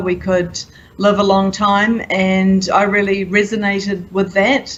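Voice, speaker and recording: A woman speaks in a New Zealand accent at a medium pitch. Audible room echo surrounds her voice. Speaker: conference attendee. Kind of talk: interview. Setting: conference event.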